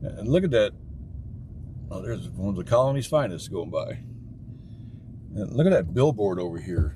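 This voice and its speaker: Speaking at a moderate pace with long, frequent pauses, a man with a fairly low voice swings his pitch very widely in a room with audible echo. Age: 60s. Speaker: livestreamer driving and filming. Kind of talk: live stream commentary while driving. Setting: in a car. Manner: casual and conversational.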